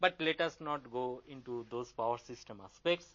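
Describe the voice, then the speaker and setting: A man speaks in a normal speaking voice with ordinary pitch variation at a moderate pace. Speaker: engineering lecturer. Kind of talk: lecture.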